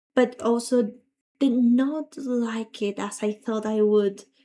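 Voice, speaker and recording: A woman speaks with a dark, mellow tone. Her pitch is fairly high and her intonation fairly even. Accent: non-native. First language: not English. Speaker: gaming streamer. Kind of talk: livestream chat. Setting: livestream.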